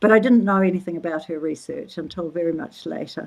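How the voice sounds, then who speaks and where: Female speech, fairly low in pitch, with ordinary pitch variation. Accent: New Zealand. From New Zealand. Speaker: social anthropologist. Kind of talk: interview conversation. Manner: halting, many fillers.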